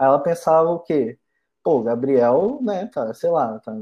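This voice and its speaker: Ordinary pitch variation marks this man's speech. His pace is very slow. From Brazil, interior of Espírito Santo. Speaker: university student. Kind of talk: casual chat.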